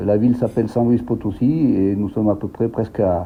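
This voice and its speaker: Moderate pace, medium pitch, and ordinary pitch variation from a man. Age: 60s. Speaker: expatriate teacher. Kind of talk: interview. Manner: halting, many repetitions and hesitations.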